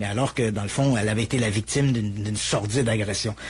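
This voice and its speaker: This man speaks with a Quebec accent. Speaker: true crime storyteller. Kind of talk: true crime narration in conversation.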